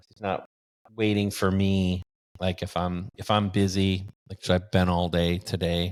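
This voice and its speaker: The intonation is monotone and flat. The recording is very clean, with a silent background. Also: man, very deep, low pitch for a man, fairly slow pace, big swings in loudness. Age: 60s. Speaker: bitcoin mining entrepreneur. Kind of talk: interview conversation. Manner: halting, with repetitions.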